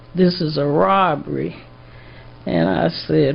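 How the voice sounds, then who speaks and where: A woman speaks at a very slow pace. Audible room echo follows her words. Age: 80s+. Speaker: trial witness. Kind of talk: court testimony. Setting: courtroom.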